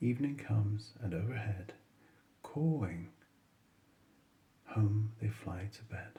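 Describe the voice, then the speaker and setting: A man with a fairly low pitch and a dark, mellow tone speaks at a very slow pace, with long, frequent pauses. His delivery is soothing and calm, somewhat breathy, with ordinary pitch variation. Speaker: bedtime story reader. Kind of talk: bedtime poetry reading. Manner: smooth, soothing.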